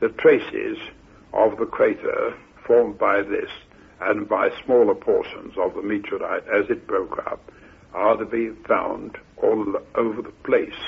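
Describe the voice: Delivered at a fairly slow pace with few pauses, the voice carries vocal fry, a husky, rough edge and fairly even intonation. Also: man, fairly low pitch for a man.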